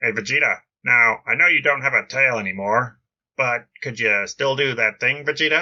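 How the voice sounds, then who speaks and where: This man is doing a put-on character voice. It lands at a medium pitch. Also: moderate pace. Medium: read story. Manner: gruff, blunt.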